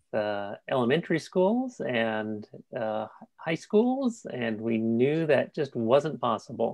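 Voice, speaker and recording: In a Californian accent, the speaker talks at a very slow pace. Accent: California. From California (San Jose). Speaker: transgender speaker and advocate. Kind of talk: personal testimony at a panel. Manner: halting with many fillers.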